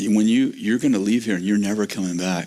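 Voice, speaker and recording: With noticeable background noise behind him, a man speaks at a fairly low pitch with ordinary pitch variation. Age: 70s. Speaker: pastor. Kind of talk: sermon. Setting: church.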